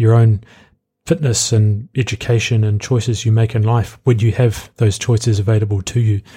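A man with a New Zealand accent speaks fairly quickly in a dark, mellow, somewhat breathy voice of medium pitch, his intonation monotone and flat. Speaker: podcast host; student. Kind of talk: reading an essay mixed with casual monologue. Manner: conversational with ums and ahs.

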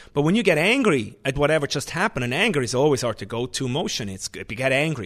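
A man talks at a very fast pace with a Swiss German accent and a fairly high pitch. Behind him the background is quiet. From Switzerland. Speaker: chef and restaurant owner. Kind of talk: interview.

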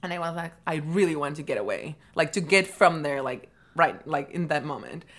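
In a very clean recording with a silent background, a woman with a Peruvian accent speaks at a fairly low pitch with fairly even intonation. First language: Spanish. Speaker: MBA student guest. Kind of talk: casual chat.

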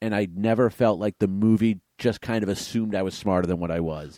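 Dry and close with no echo, this very clean recording with a silent background has a man speaking at a fairly low pitch in a dark, mellow tone, with ordinary pitch variation. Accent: American. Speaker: podcast co-host. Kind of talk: casual chat.

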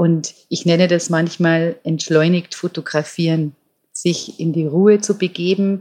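At a very slow pace, a woman speaks in a fairly low, monotone, flat voice. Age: 50s. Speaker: nature photographer. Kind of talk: interview.

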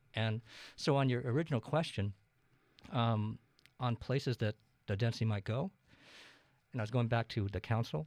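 On a very clean recording with a silent background and a dry, close sound with no echo, a man speaks at a moderate pace in a medium pitch, with ordinary pitch variation and long, frequent pauses. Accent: American. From eastern Washington, US. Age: 60s. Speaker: city council candidate. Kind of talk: casual interview.

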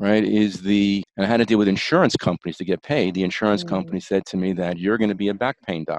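A Bronx accent, a dry, close sound with no echo and a quiet background. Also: man. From New York, the Bronx. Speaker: chiropractor. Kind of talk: interview.

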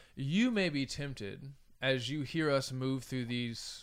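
In a General American accent, a man speaks at a fairly slow pace in a plain, everyday voice, medium in pitch with ordinary variation. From United States. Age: 30s. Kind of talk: casual discussion.

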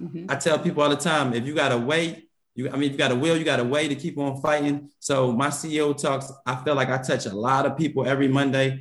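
Speaking at a fairly quick pace with hardly any pauses, a man uses fairly even intonation and a fairly high pitch. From West Philadelphia. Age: 30s. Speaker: restaurant owner. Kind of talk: interview.

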